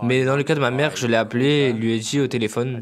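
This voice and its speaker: A man with an unremarkable speaking voice talks at a fairly quick pace. His pitch is medium, and his intonation is fairly even. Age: 20s. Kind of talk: interview answer. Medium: dub.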